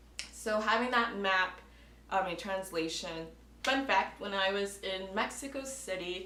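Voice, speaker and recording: With an American accent, a woman talks at a fairly slow pace and medium pitch with ordinary pitch variation, amid noticeable background noise and audible room echo. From United States. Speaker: travel vlogger. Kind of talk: advice vlog talking to camera. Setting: indoors at home, air conditioning off.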